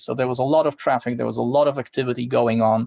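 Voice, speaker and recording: A man speaks with a Polish accent. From Poland. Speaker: archaeologist. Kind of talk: podcast interview, presentation with slides.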